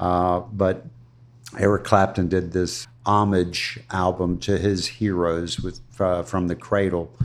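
Very slowly and in a monotone, flat intonation, a man speaks with a very deep, low pitch. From US South, Florida (Ruskin). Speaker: retired cigar shop owner. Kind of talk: interview, casual chat. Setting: coffee shop. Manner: halting, many fillers.

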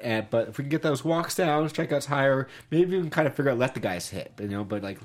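This man has an ordinary speaking voice with an American accent. He talks at a fairly quick pace at a medium pitch. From US, Los Angeles area (Toluca Lake). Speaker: sports podcast co-host. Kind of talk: casual chat.

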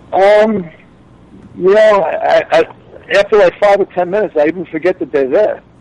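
A man with a Long Island accent, high in pitch, at a moderate pace with ordinary pitch variation, in a dry, close sound with no echo. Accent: Long Island New York. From Long Island, New York. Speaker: reality TV cast member. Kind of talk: interview. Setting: phone call.

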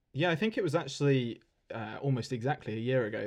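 A man talks at a fairly quick pace in an English accent. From England. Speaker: podcast host, RC aircraft hobbyist and author. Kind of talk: casual chat. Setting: internet call.

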